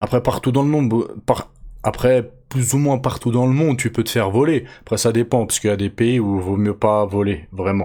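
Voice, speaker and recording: Speaking at a medium pitch and a moderate pace, a man has a dark, mellow tone and ordinary pitch variation. The recording is very clean, with a silent background. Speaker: MMA news youtuber. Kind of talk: casual news commentary. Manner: casual, slangy, with hesitations.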